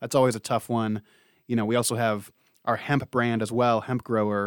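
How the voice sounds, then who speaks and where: A plain, everyday voice with an American accent, fairly quick in pace, ordinary pitch variation, and a dry, close sound with no echo on a very clean recording with a silent background. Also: man. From Ohio. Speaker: podcast host, trade magazine editor. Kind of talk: podcast interview and news roundup.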